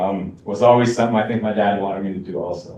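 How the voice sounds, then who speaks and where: Audible room echo surrounds a man's medium-pitched voice as he speaks at a very fast pace. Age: 40s. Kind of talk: Q&A discussion. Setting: college event with live and online audience.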